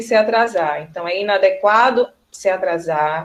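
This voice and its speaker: A woman with a plain, everyday voice, medium in pitch, at a fairly slow pace. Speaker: teacher. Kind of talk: online class lecture. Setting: video call.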